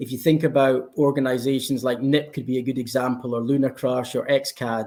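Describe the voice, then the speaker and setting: A man with a Scottish accent, fairly quick in pace and medium in pitch, his dark, mellow tone delivered in monotone, flat intonation. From Scotland. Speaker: blockchain company representative. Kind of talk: panel discussion.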